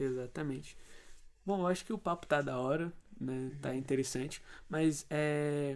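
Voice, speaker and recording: A man speaks at a fairly slow pace with long, frequent pauses. His pitch is fairly high. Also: ordinary pitch variation. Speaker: student radio host. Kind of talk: casual chat.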